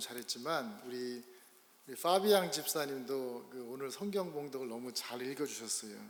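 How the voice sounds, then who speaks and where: In a room with audible echo, a man speaks at a fairly slow pace, his medium pitch showing ordinary variation. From Korea. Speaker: pastor. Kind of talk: sermon. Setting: church.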